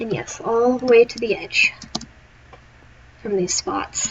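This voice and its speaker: A woman with a fairly high pitch and ordinary pitch variation talks over noticeable background noise. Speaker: gaming streamer. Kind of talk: live gameplay commentary. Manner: casual counting aloud.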